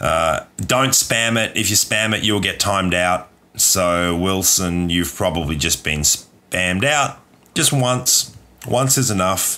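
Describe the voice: A man's raspy, put-on character voice, fairly low in pitch, fairly slow, with lively intonation.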